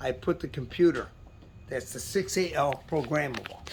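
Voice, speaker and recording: Noticeable background noise sits behind a man speaking at a moderate pace with lively intonation. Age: 70s. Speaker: car owner and enthusiast. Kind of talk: casual show-and-tell walkaround.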